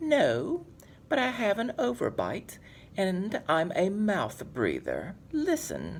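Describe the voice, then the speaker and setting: A put-on character voice, fairly high in pitch and very slow, over clear background noise. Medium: read story.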